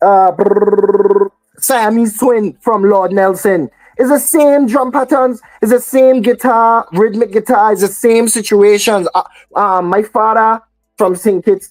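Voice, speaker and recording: Keeping her loudness very even, a woman with a fairly high pitch talks at a fairly slow pace. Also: ordinary pitch variation, dry, close sound with no echo. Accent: Virgin Islands. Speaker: soca artist. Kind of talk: radio interview. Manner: halting, many fillers.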